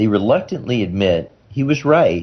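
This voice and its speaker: In a General American accent, a man speaks with vocal fry and very wide pitch swings. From Iowa, United States. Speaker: neurosurgeon. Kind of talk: radio interview answer.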